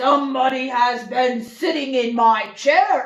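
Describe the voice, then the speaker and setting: Using a put-on character voice, a woman growls at a high pitch and a fairly slow pace. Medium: read story. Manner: slow, heavy, grumbling.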